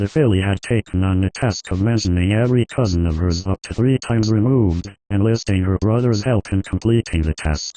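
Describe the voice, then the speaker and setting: In a put-on character voice, a man talks at a moderate pace with a calm tone and a fairly low pitch, over a quiet background. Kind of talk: storybook reading. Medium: read story. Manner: calm, measured.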